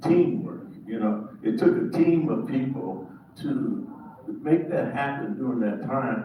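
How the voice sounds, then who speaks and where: Very slow speech from a man at fairly high pitch with very wide pitch swings, amid audible room echo and noticeable background noise. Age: 70s. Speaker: pastor. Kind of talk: audience remarks at panel event. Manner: halting.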